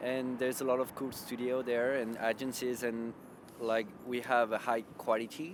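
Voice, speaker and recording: In a French accent, a man with a medium pitch speaks at a fairly slow pace. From France. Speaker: web developer. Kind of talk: interview.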